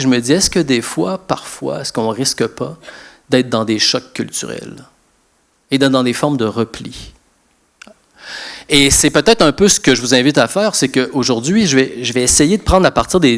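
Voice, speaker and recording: With a moderate pace and intonation full of life, a man is heard speaking. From Quebec. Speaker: sociologist and lecturer. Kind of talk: lecture. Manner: hesitant repetitions.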